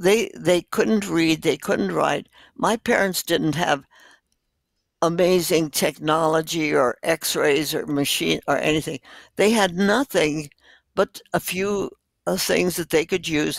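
Speaking at a very slow pace, a woman with a fairly low pitch and vocal fry is heard in a dry, close sound with no echo. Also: ordinary pitch variation. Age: 80s+. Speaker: doctor. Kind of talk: interview answer.

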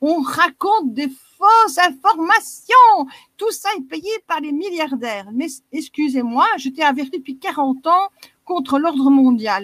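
Close and dry with no echo, a woman with a Belgian accent speaks at a fairly slow pace in a high, fairly bright voice with lively intonation.

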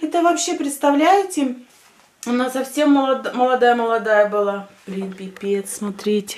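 A woman talks at a very slow pace. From Russian-speaking village, former USSR. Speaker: vlogger. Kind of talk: casual vlog monologue. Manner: animated. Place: home room. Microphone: phone near.

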